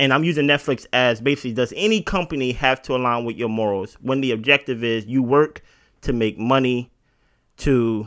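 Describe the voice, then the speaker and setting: A man has an unremarkable speaking voice of medium pitch. He talks at a moderate pace with ordinary pitch variation. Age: 30s. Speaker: podcast co-host. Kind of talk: casual chat. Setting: at co-host's house.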